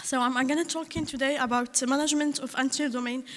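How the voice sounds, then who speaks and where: In a monotone, flat intonation, a woman talks at a fairly quick pace and a high pitch. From Morocco. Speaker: conference presenter, researcher. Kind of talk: conference talk. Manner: halting, many fillers.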